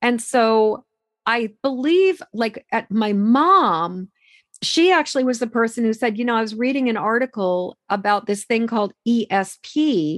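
With an American accent, a woman speaks at a fairly slow pace, her fairly high pitch carrying lively intonation. The sound is dry and close with no echo, over a quiet background. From Massachusetts, US. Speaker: empathic mentor and author. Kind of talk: interview conversation.

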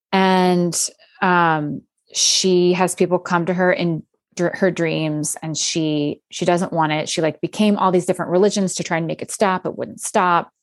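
A woman talks at a moderate pace with a fairly low pitch and a monotone, flat intonation. The background is quiet. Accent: American. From US, Philadelphia area. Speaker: author and podcaster. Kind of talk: casual chat.

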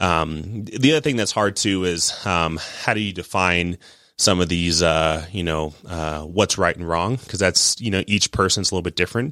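Over a very clean recording with a silent background, a man talks at a moderate pace in a very deep, low pitch, with a bright, sharp tone and ordinary pitch variation. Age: 30s. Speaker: investment advisor. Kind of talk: interview.

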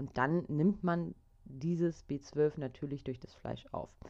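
A woman with a very deep, low pitch and a dark, mellow tone talks at a fairly slow pace. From Germany, Hamburg. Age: 30s. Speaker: podcast host. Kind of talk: solo podcast monologue.

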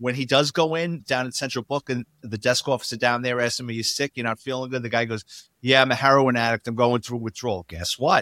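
In a New York accent, a man with a bright, sharp tone and medium pitch talks at a very fast pace with fairly even intonation, on a very clean recording with a silent background and a dry, close sound with no echo. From New York City, the Bronx. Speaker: retired police detective. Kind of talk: interview storytelling.

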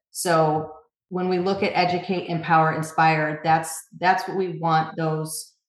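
Delivered at a moderate pace in an American accent, the speech has monotone, flat intonation and audible room echo. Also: woman. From upstate New York. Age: 40s. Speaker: magazine founder and editor. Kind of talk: interview.

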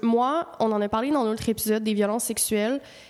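A woman's fairly high voice in a Quebec accent, at a fairly quick pace. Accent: Québécois French. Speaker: podcast co-host. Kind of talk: casual chat. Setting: studio. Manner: animated.

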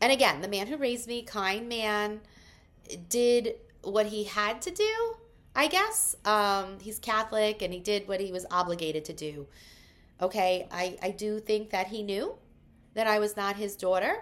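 A woman speaks at a moderate pace with a fairly high pitch and ordinary pitch variation, in a very clean recording with a silent background. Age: 40s. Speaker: solo podcaster. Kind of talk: personal monologue. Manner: hesitant, many fillers.

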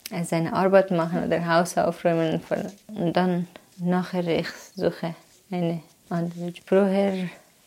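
Here a woman speaks at a very slow pace with a fairly low pitch. Her intonation is monotone and flat. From Afghanistan. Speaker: immigrant mother. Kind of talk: interview. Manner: halting.

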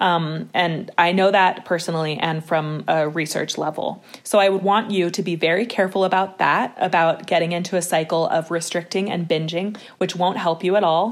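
Hardly any pauses break up this woman's plain, everyday voice at a moderate pace. Her pitch is fairly low and her intonation fairly even. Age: 30s. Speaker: nonprofit co-founder, body image advocate. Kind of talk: casual interview.

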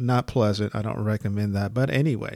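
Fairly low-pitched male speech with an American accent, fairly even intonation and a fairly quick pace, on a very clean recording with a silent background. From United States. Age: 50s. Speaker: podcast host, life coach. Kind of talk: solo podcast monologue, motivational. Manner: halting, with fillers and restarts.

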